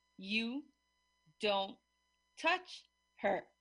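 A woman uses a put-on character voice that is husky and growling, pitched fairly high. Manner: menacing.

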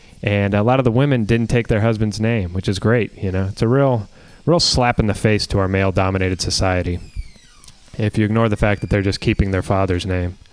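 A man with a plain, everyday voice speaks at a fairly quick pace, with a fairly low pitch and fairly even intonation. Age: 20s. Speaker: comedian. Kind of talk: stand-up.

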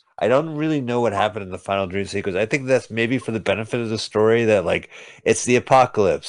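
A man speaks at a fairly quick pace in a medium pitch, with ordinary pitch variation and an unremarkable speaking voice. The background is quiet. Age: 50s. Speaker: podcast host reviewing movies. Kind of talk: casual chat.

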